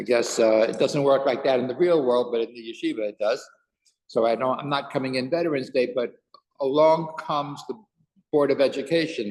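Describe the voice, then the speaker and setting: Here is a plain, everyday voice. It belongs to a man with a fairly high pitch. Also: ordinary pitch variation, fairly quick pace. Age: 60s. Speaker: rabbi and teacher. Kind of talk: casual chat before a Torah class; Torah class.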